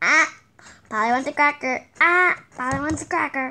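The speaker uses a put-on character voice with high pitch. The pace is moderate. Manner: repetitive, comical.

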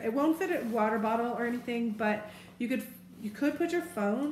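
Audible room echo and light background noise surround the recording. A woman speaks at a moderate pace. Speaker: bag reviewer. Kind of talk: casual product review. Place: home room. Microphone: camera far.

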